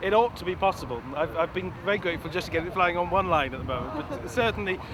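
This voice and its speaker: Very fast, lively speech in a Welsh accent, with noticeable background noise. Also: man. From Wales. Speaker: kite designer and flyer. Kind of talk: interview. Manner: halting, with many repeated words.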